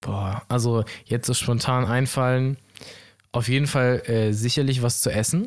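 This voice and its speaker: A man speaks in an ordinary speaking voice at a fairly slow pace and medium pitch, with very even loudness and fairly even intonation. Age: 20s. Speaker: podcast co-host. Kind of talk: casual chat.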